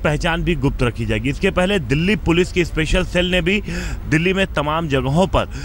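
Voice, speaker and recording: Light background noise sits under a dry sound with no echo. A man talks at a moderate pace with fairly even intonation. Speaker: TV field reporter. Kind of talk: news report to camera. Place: street. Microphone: handheld.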